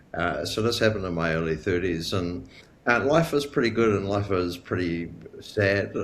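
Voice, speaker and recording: A man with a New Zealand accent speaks at a moderate pace with ordinary pitch variation. Audible room echo surrounds his voice. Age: 40s. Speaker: chronic illness patient sharing story. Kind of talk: interview testimony. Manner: halting, many fillers.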